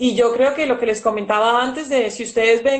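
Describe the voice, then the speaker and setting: Her pitch sits high. This woman speaks at a moderate pace. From Colombia, Valle del Cauca. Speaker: intensive care physician. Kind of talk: interview.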